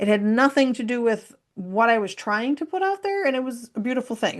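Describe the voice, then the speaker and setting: A woman talks at a fairly quick pace. Her tone is animated. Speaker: human design consultant and workshop presenter. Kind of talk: workshop presentation. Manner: fast.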